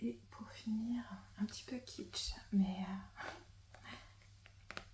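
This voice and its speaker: Noticeable background noise is present throughout. A woman whispers, moving along at a very slow pace. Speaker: ASMR creator. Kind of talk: ASMR roleplay as a stationery shop assistant. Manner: whispered, soft-spoken.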